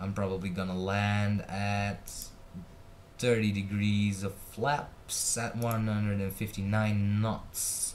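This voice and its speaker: With audible room echo, a man speaks at a very slow pace in monotone, flat intonation. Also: fairly low pitch for a man. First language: Dutch. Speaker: flight sim gamer. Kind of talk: gameplay commentary. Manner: casual, with many fillers and hesitations.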